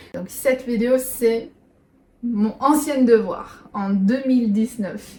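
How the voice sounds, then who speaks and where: A woman talks very slowly in a high pitch with ordinary pitch variation. Noticeable background noise runs under her voice. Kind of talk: casual reaction talk.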